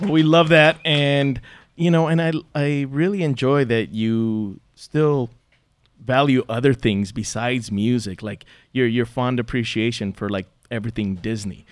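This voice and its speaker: Using a normal speaking voice, the speaker talks at a fairly slow pace with lively intonation on a very clean recording with a silent background. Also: man, medium pitch for a man. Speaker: radio host. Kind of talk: casual interview. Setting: stage with audience.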